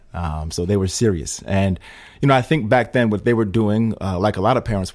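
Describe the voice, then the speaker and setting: Talking at a very fast pace, a man with a fairly low pitch and ordinary pitch variation is heard in a very clean recording with a silent background. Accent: American. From Schenectady, upstate New York. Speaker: congressional candidate. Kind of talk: interview. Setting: studio. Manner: hesitant, many fillers.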